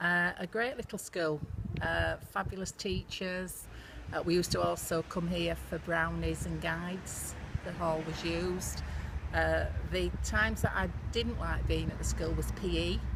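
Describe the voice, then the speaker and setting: A woman with a West Yorkshire accent at a fairly slow pace. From northern England, Bradford, West Yorkshire. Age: 60s. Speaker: businesswoman. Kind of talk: casual reminiscence to camera.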